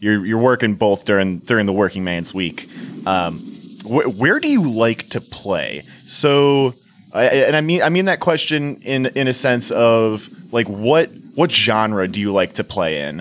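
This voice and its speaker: Noticeable background noise sits behind a man at medium pitch who talks at a fairly slow pace with very wide pitch swings. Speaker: podcast host. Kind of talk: casual chat. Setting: studio.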